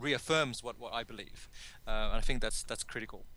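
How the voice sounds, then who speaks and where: The pace here is moderate. The speaker is a man with an Australian accent. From Sydney, Australia. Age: 30s. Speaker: confidence coach. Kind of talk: podcast interview. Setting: call.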